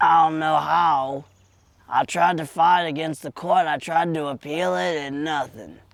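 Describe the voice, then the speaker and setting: A man's put-on character voice, fairly slow in pace, with fairly even intonation. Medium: audio drama. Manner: rambling, colloquial.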